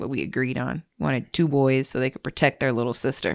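A woman talks with a very deep, low pitch and vocal fry. The recording is very clean, with a silent background. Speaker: podcast co-host. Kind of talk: casual chat. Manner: subdued.

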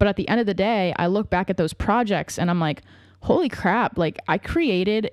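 On a very clean recording with a silent background and a dry, close sound with no echo, a woman with a medium pitch speaks at a moderate pace in an animated tone, her pitch varying in an ordinary way. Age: 20s. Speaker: podcast host and filmmaker. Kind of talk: solo podcast monologue. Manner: casual, animated.

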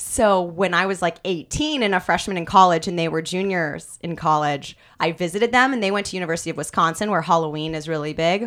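A woman with a Midwestern accent speaks fairly quickly, with hardly any pauses, at a fairly low pitch. Her pitch varies in an ordinary way, and the recording is very clean with a silent background. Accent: general American, Midwestern. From US Midwest. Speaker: news anchor. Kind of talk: casual chat.

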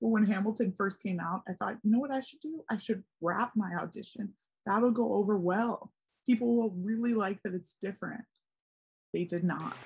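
This woman, with an American accent, has a somewhat breathy, medium-pitched voice, ordinary pitch variation and a moderate pace. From Philadelphia, US. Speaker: podcast host. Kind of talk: casual chat. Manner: animated.

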